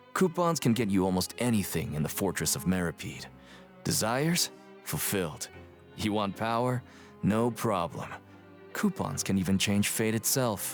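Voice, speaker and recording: A man speaks in a gruff, put-on character voice at a fairly low pitch and a moderate pace. He leaves long, frequent pauses while music plays clearly in the background. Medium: video game. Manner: curt, gruff.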